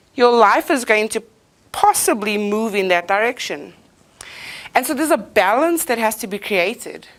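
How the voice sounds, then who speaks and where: Loud and animated, a woman speaks with lively intonation. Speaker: motivational speaker. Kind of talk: inspirational talk.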